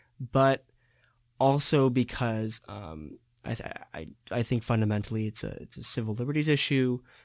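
A man with an American accent, a normal speaking voice, medium pitch and ordinary pitch variation. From San Diego, California. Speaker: student podcast host. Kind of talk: student podcast discussion.

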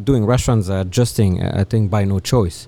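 A dark, mellow tone in a French accent, with ordinary pitch variation, on a very clean recording with a silent background. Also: man. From France, Toulouse (southwest). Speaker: chef and restaurant owner. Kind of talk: interview. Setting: at his restaurant.

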